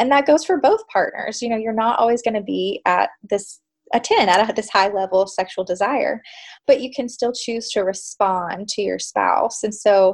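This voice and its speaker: Using an ordinary speaking voice, a woman with a fairly high pitch speaks at a moderate pace. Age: 30s. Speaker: clinical psychologist. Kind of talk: interview.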